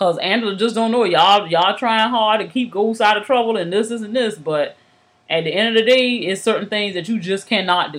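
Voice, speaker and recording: The speaker talks at a fairly quick pace. Pitch varies in an ordinary way, in a normal speaking voice. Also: woman, fairly high pitch for a woman. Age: 30s. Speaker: podcast co-host. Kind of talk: casual chat.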